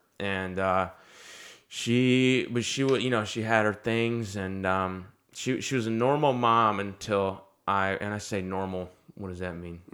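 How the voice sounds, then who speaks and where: In a very clean recording with a silent background, a man speaks fairly slowly in an unremarkable speaking voice, fairly low in pitch with ordinary pitch variation. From US South, North Carolina. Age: 20s. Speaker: comedian. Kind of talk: casual chat.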